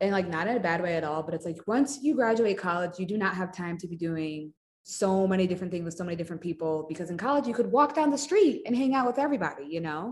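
Lively intonation runs through a normal speaking voice delivered at a fairly quick pace. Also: woman. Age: 20s. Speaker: social media content creator. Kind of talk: casual chat.

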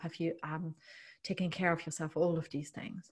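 On a very clean recording with a silent background, a woman with a German accent speaks fairly quickly in a somewhat breathy, fairly low voice with monotone, flat intonation. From East Germany. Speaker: leadership and mindset coach. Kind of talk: casual interview. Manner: hesitant with frequent fillers.

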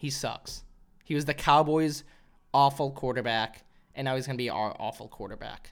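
Recorded very cleanly with a silent background, a man with a plain, everyday voice and an American accent speaks at a fairly high pitch and a moderate pace. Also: fairly even intonation. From Arkansas, US South. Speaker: comedian podcaster. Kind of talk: casual solo podcast monologue. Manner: casual, self-deprecating, profane.

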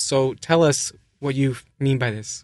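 Over a quiet background, a man with a plain, everyday voice speaks with ordinary pitch variation. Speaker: podcast host. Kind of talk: casual interview.

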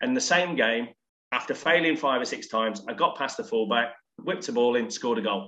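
A man with a medium pitch and an unremarkable speaking voice talks at a fairly quick pace with lively intonation. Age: 40s. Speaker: former professional footballer. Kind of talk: casual chat. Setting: remote call from home office.

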